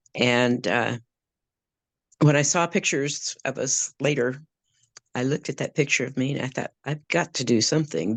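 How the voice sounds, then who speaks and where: The sound is dry and close with no echo, over a quiet background. A woman with a very deep, low pitch talks at a moderate pace with ordinary pitch variation. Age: 70s. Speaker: program member. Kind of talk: testimony.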